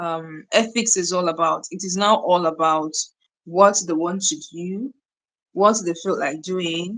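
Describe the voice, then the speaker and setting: A woman with a Nigerian accent, fairly low in pitch, at a fairly slow pace with ordinary pitch variation. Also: big swings in loudness. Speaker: YouTuber. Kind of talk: live stream chat. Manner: conversational, with many fillers.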